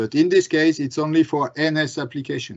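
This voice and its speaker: A man's fairly high voice with a French accent. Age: 40s. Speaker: glass industry business manager. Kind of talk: webinar presentation and Q&A. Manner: halting, many fillers.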